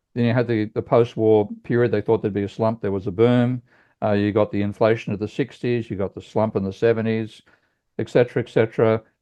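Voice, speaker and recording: A man's medium-pitched voice at a very fast pace. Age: 70s. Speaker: economics professor. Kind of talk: teach-in lecture. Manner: animated.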